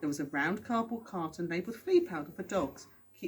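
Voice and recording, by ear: A natural voice reading aloud.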